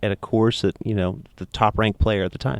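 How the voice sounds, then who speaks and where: A man talks at a fairly quick pace in a normal speaking voice. His pitch sits fairly low. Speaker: podcast host. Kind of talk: interviewer questions.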